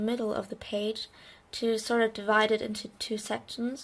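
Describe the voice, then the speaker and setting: This woman has a fairly high pitch and a German accent. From Germany. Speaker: bullet journal creator. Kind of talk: casual craft tutorial narration.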